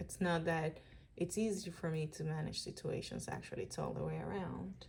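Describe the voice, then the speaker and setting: At a moderate pace, a woman speaks with a Dominican accent. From Dominican Republic. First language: Spanish. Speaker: vlogger. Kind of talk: personal video diary. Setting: at home. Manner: unscripted, hesitant.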